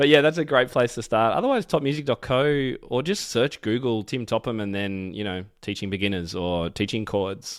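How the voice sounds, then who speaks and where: Speaking with an Australian accent, a man uses medium pitch and lively intonation at a moderate pace with hardly any pauses. The recording is very clean, with a silent background. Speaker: piano educator and author. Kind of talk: interview. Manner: enthusiastic.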